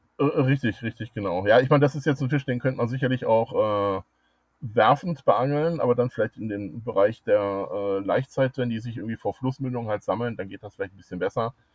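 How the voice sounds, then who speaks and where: In a plain, everyday voice, a man speaks fairly quickly at a medium pitch with ordinary pitch variation. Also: big swings in loudness. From Germany, Ruhr area (Dortmund). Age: 50s. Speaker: angling club president and fishing writer. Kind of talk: interview.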